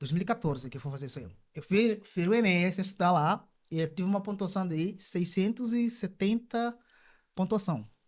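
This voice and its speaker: Very clean recording, silent background, with a man's high-pitched voice, lively intonation, and a moderate pace. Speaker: immigrant guest. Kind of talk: casual chat.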